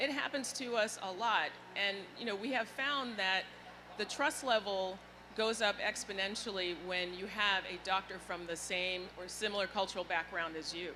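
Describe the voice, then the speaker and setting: A woman's bright, sharp voice at medium pitch, with ordinary pitch variation and a moderate pace. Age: 60s. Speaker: healthcare executive. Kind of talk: panel discussion.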